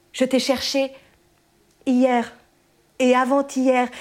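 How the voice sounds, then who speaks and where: A woman speaks in a high-pitched voice. She talks at a very slow pace. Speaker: poet performer. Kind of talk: poem performed, written text read aloud with intensity. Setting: live event with audience, festival.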